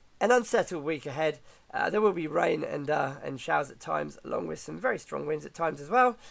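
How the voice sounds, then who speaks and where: Putting on a character voice, a man speaks very fast at a fairly high pitch, sounding croaky and raspy. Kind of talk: weather forecast delivery.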